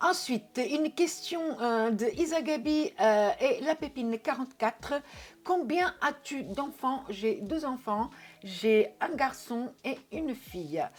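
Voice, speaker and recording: At a very slow pace, a woman with a Portuguese accent speaks in a high pitch that swings very widely. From Portugal. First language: Portuguese (speaking French). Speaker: YouTuber. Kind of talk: casual Q&A video. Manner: hesitant, many filler words.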